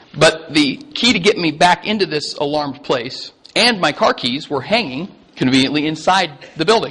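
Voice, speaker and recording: Over noticeable background noise, a man with an American accent speaks at a moderate pace with lively intonation. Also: fairly high pitch for a man. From Iowa, United States. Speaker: pastor. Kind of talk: casual sermon anecdote to an audience. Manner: chatty, humorous.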